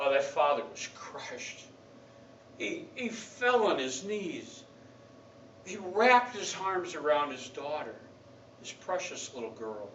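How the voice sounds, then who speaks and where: Amid noticeable background noise, a man with a high pitch speaks at a very slow pace, with long, frequent pauses, very wide pitch swings and big swings in loudness. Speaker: pastor. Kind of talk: sermon delivered to a congregation.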